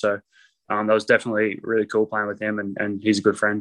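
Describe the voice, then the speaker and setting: A man speaks in a fairly low voice with an Australian accent. The sound is dry and close, with no echo. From North Queensland, Australia. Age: 20s. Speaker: professional basketball player. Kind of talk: casual interview.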